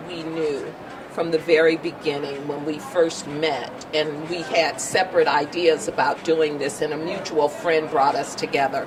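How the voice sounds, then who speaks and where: Noticeable background noise sits behind a woman speaking at a moderate pace with a very deep, low pitch. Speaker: documentary film director. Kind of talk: interview answer.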